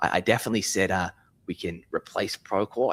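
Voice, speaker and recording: A man with an Australian accent talks at a moderate pace, captured with a dry, close sound and no echo. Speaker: software company founder. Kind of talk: live interview. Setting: office, live stream.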